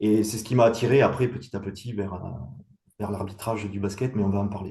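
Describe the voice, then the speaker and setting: Audible room echo surrounds a man speaking at a moderate pace and medium pitch. His voice is somewhat breathy with a dark, mellow tone. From southwest France (Montauban, Tarn-et-Garonne). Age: 50s. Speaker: professional basketball referee. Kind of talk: interview. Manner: hesitant, many fillers.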